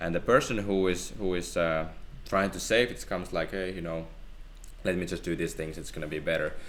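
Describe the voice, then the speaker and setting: With a Finnish accent, a man talks at a fairly quick pace amid audible room echo. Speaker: theology student. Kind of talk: casual Bible discussion.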